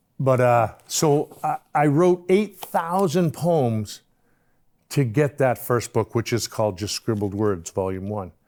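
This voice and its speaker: On a very clean recording with a silent background, a man with an American accent speaks very slowly at a medium pitch, with very wide pitch swings. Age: 60s. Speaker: poet. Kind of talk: casual monologue. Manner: halting.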